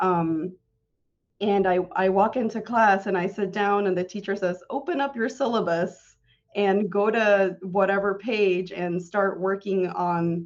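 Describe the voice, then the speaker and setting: A woman speaks with a Spanish accent at a fairly slow pace. Her medium pitch stays fairly even in intonation. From Tennessee (Morristown), early childhood in Tijuana. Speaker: city clerk. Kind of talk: interview.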